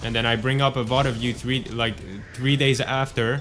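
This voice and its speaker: Here a man talks at a medium pitch and moderate pace. His intonation is monotone and flat. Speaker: streamer. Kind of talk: casual chat.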